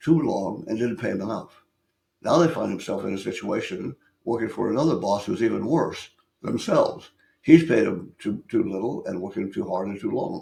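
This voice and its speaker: A man's medium-pitched voice with a dark, mellow tone, vocal fry, very wide pitch swings and a moderate pace. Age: 80s+. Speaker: business consultant. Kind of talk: podcast interview. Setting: studio. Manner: halting, many repeated words.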